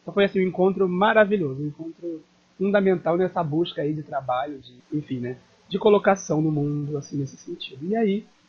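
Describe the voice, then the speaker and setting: A man speaks in an unremarkable speaking voice at a moderate pace, with ordinary pitch variation. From Niterói, Rio de Janeiro state, Brazil. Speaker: theatre activist and journalist. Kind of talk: interview.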